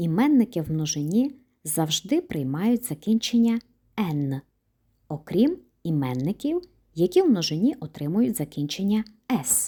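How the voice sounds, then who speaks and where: At a fairly slow pace, a woman with a fairly low, somewhat breathy voice and a dark, mellow tone makes very wide pitch swings between long, frequent pauses. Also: very clean recording, silent background. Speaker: German language teacher. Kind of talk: lecture.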